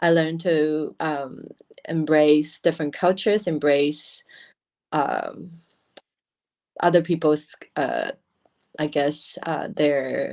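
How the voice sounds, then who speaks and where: A woman speaks in a Chinese accent with fairly even intonation. Her pitch is very deep and low. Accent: Mandarin-accented English. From Taiwan. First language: Mandarin. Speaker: beauty brand founder. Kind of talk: interview. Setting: livestream. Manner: halting.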